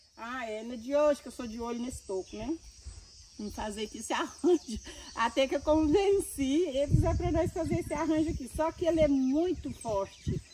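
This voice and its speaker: The speaker keeps a moderate pace while the loudness swings widely. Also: woman, high pitch for a woman. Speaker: grandmother and gardener. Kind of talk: casual chat.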